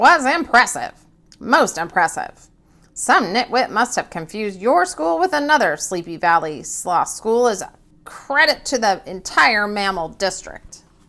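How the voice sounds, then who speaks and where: A woman puts on a character voice, pitched fairly high. Her pitch swings very widely at a moderate pace. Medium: read story. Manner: officious, pompous.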